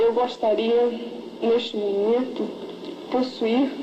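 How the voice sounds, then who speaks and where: A woman talks fairly slowly in a high voice. There is audible room echo and noticeable background noise. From Brazil, Amazon region. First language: Portuguese. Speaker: beauty pageant contestant. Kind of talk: prepared speech. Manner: halting.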